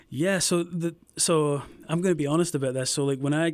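A man talks at a fairly quick clip with a Scottish accent. His intonation stays fairly even. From Scotland, near Glasgow. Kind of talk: casual interview, faith testimony.

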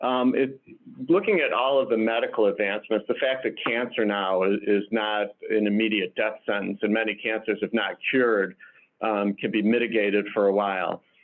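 An unremarkable speaking voice from a man with an American accent, fairly low in pitch, at a moderate pace, with very even loudness and fairly even intonation. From Detroit, Michigan. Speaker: hospital chief medical officer and physician. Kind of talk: interview.

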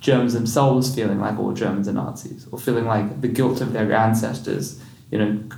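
The voice moves at a fairly quick pace with ordinary pitch variation, over noticeable background noise. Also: man. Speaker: podcast host. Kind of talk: interview. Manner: halting, repeats words.

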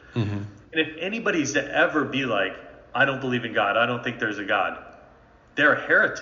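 Over noticeable background noise, a man talks at a very fast pace with lively intonation and long, frequent pauses. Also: medium pitch for a man. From North Jersey, Bergen County. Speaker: ministry training leader. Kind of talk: interview.

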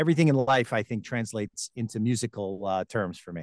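Against a quiet background with a dry, close sound and no echo, a man with an ordinary speaking voice talks at a fairly quick pace, medium in pitch with lively intonation. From Long Island, New York. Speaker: TV host and voiceover talent. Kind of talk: interview.

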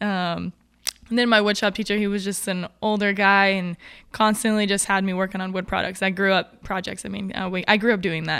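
An unremarkable speaking voice with fairly even intonation comes through in a very clean recording with a silent background. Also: woman. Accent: American. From Oregon, US (Grants Pass). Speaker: bobsled athlete. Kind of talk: casual interview. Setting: home garage.

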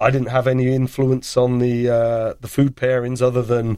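In an English accent, a man speaks at a moderate pace with a medium pitch and a dark, mellow tone. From England. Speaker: head brewer. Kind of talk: casual chat.

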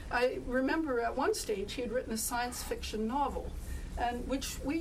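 Noticeable background noise sits behind a woman speaking at a moderate pace. Her voice is high, with ordinary pitch variation. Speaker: writing group member introducing the author. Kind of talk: formal introduction of a book launch speaker. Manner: hesitant, filler-laden, measured.

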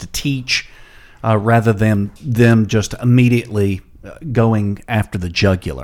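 A man with a normal speaking voice and a medium pitch talks at a fairly slow pace with fairly even intonation. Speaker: pastor. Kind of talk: bible study discussion.

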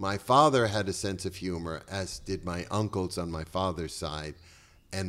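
With an American accent, a man speaks at a moderate pace in a very deep, low pitch with vocal fry and lively intonation, on a very clean recording with a silent background. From Boston, Massachusetts. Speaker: comedian and writer. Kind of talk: casual chat.

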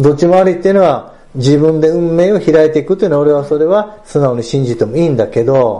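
This man talks very fast in a fairly high voice, barely stopping for pauses. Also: ordinary pitch variation. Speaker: clothing business owner. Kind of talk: casual interview.

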